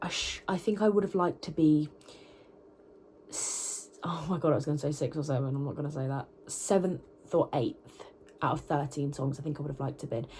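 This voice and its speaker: At a fairly quick pace, a woman with a British accent and a very deep, low pitch speaks with ordinary pitch variation and long, frequent pauses. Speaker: vocalist and university student vlogger. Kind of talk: vlog talking to camera. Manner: casual, chatty with fillers.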